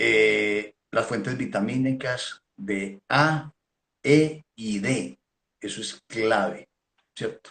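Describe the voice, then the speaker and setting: The dry, close sound with no echo carries a man's medium-pitched voice, very slow in pace with lively intonation. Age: 60s. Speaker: veterinarian. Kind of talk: technical talk. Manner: halting, repeats words.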